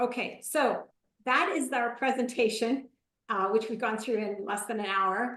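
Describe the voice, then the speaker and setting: A woman's fairly high voice, a normal speaking voice, with ordinary pitch variation and a moderate pace. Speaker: marketing consultant and presenter. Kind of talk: webinar presentation; Q&A answer.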